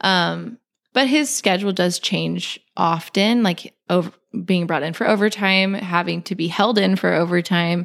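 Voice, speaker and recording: Speaking at a fairly slow pace, a woman with a fairly low pitch and ordinary pitch variation has an unremarkable speaking voice, recorded very cleanly against a silent background. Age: 30s. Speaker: homemaker and freelance artist. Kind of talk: casual chat.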